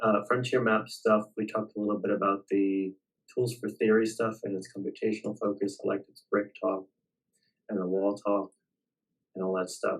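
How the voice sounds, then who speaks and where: A fairly low-pitched man, monotone and flat, with big swings in loudness. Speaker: reading group leader. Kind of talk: academic group discussion. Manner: slow.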